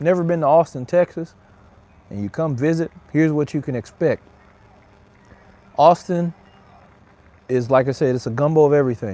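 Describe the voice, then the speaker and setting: A man with an American accent speaks fairly quickly at a fairly high pitch, in a dark, mellow tone. The sound is dry and close with no echo, and his pauses are long and frequent. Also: ordinary pitch variation. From Mississippi. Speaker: cigar reviewer, livestream host. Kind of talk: casual livestream chat. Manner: relaxed, chatty.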